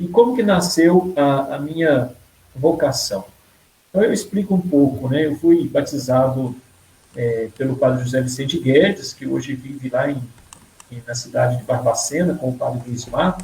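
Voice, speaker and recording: A plain, everyday voice with lively intonation. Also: man, fairly high pitch for a man, moderate pace. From Brazil, rural Minas Gerais (Caranaíba area). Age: 30s. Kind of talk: personal vocation testimony in a live interview.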